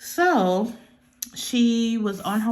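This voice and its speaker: A somewhat breathy woman with an American accent. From North Carolina, USA. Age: 30s. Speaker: budgeting YouTuber. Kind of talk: casual talk to camera.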